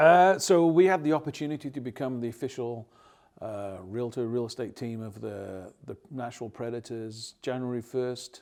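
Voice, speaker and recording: A man with an English accent and big swings in loudness. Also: medium pitch for a man, ordinary pitch variation, moderate pace, very clean recording, silent background. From England. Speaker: real estate team leader. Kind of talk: interview. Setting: studio.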